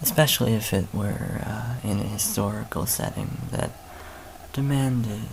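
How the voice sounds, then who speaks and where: Against noticeable background noise, a soft-spoken man talks at a fairly slow pace. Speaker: dungeon master. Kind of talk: casual talk to camera.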